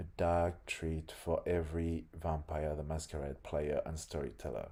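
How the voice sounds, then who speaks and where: A man speaks slowly-ish with a very deep, low pitch and a dark, mellow tone, somewhat breathy, keeping his intonation fairly even. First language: French. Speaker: game developer. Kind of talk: reading aloud. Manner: halting.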